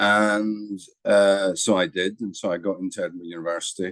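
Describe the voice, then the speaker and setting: This is a man speaking in a Scottish accent. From Scotland. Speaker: psychiatry professor. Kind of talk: interview.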